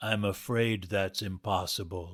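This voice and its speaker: On a very clean recording with a silent background, a man performs a put-on character voice. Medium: read story. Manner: smooth, unhurried, falsely courteous.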